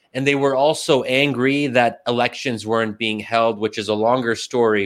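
A man speaks at a moderate pace with a medium pitch and fairly even intonation. The recording is very clean, with a silent background. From US, Pennsylvania. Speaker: think tank scholar and writer. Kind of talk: interview. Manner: hesitant, frequent fillers.

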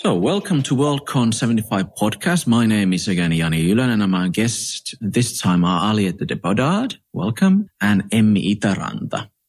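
A man's ordinary speaking voice, fairly low in pitch, at a moderate pace with hardly any pauses. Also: lively intonation, very even loudness. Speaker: podcast host. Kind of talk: interview.

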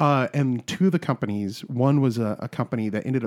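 The man talks with a plain, everyday voice, his pitch varying in the usual way and his tempo moderate. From South Carolina. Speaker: comedian. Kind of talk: casual chat.

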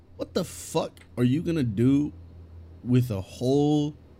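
A man speaks at a very slow pace in a medium pitch. His tone is dark and mellow, and somewhat breathy. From California. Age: 20s. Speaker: podcast co-host, streamer manager. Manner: joking, casual.

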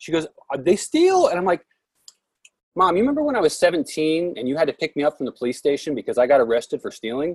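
Very fast, lively speech in an American accent with a dry, close sound and no echo. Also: man, high pitch for a man. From Oregon, US. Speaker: podcast host. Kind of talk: casual chat.

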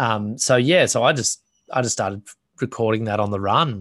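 Against a quiet background, a man with an Australian accent speaks at medium pitch in a bright, sharp tone, the sound dry and close with no echo. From Australia (New South Wales coast). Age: 30s. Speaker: professional bodyboarder. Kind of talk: casual interview chat. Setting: remote call.

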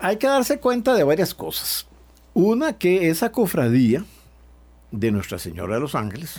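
A man speaks at a fairly slow pace with a high pitch. His voice moves in very wide pitch swings. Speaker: priest and historian. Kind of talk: radio interview.

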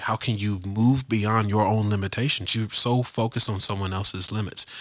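A man with an American accent speaks at a fairly quick pace in a normal speaking voice, his pitch fairly low, on a very clean recording with a silent background. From US South. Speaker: podcast host and life coach. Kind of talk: casual chat.

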